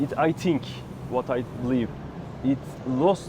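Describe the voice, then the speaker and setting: A man speaks with a Turkish accent and ordinary pitch variation. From Turkey, Istanbul. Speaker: interviewee, traveler. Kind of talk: interview. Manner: halting.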